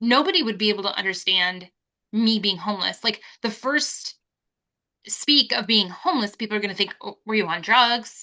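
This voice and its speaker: Loud and bright with a sharp tone, a woman speaks at a fairly high pitch and a moderate pace with ordinary pitch variation. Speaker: podcast co-host. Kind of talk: casual chat.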